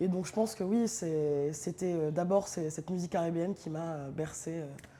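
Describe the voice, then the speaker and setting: With a plain, everyday voice, a woman speaks at a moderate pace and a fairly low pitch for a woman. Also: ordinary pitch variation. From northern France, Amiens. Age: 30s. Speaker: DJ. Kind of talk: casual interview. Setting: studio loft.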